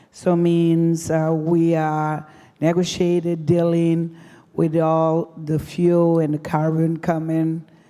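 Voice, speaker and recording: Amid audible room echo, a woman with a non-native accent speaks very slowly in a fairly low, dark, mellow voice with monotone, flat intonation. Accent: foreign. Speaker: deputy mayor. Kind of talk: conference presentation. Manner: halting.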